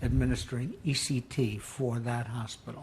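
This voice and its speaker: In an American accent, a man speaks at a very slow pace and medium pitch with fairly even intonation, amid noticeable background noise and audible room echo. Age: 80s+. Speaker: psychiatrist. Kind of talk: deposition testimony.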